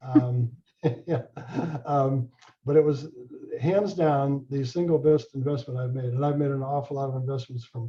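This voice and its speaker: A fairly high-pitched man with a dark, mellow tone speaks at a moderate pace, somewhat breathy. His intonation stays fairly even, broken by long, frequent pauses. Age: 70s. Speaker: real estate lawyer. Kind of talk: presentation to homebuyer class. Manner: halting, many fillers.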